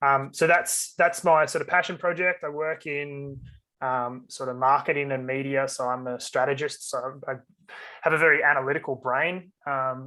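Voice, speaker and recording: Over a quiet background, a man with an Australian accent speaks at a moderate pace. His pitch is fairly high and his tone bright and sharp. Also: fairly even intonation. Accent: general Australian. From Australia, Sydney (North Shore, northern beaches). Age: 20s. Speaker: mental health advocate. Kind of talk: interview. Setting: podcast. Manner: casual, halting with fillers.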